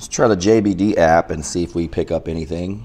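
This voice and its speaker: A man talking at a moderate pace. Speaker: product reviewer. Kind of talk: casual product review. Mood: mildly pleased, curious. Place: home room.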